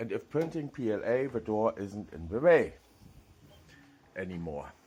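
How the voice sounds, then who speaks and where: Speaking in a German accent at a fairly slow pace, the man has a medium pitch that makes very wide swings. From Germany. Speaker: 3D printing hobbyist YouTuber. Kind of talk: tutorial. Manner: halting.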